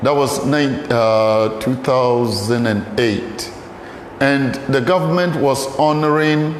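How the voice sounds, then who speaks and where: Over noticeable background noise and audible room echo, a man with a Ghanaian accent talks at medium pitch and a fairly slow pace, with ordinary pitch variation. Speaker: pastor and archaeologist. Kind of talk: lecture.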